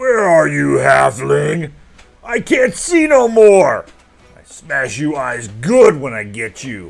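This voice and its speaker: Over music in the background, a man puts on a character voice and speaks at a very slow pace. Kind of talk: crude, broken grammar. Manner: menacing.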